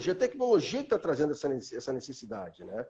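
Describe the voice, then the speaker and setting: This man has a high pitch and a dark, mellow tone. His pitch swings very widely. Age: 50s. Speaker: metrology specialist. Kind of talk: live stream conversation. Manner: hesitant, many fillers.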